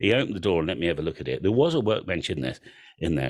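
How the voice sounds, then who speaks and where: This very clean recording has a silent background. A man with an English accent speaks in a very deep, low voice with vocal fry. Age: 60s. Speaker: antenna business owner, radio amateur. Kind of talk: presentation.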